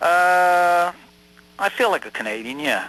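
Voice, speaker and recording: A man's fairly high voice in a New York accent, over noticeable background noise. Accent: New York accent, still audible. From US, New York. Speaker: American immigrant to Canada interviewed about identity. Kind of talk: radio interview. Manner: halting, with many false starts.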